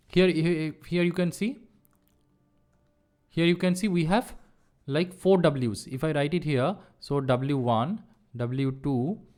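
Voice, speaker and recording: At a very slow pace, a man speaks with lively intonation and long, frequent pauses. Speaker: online course instructor. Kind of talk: lecture.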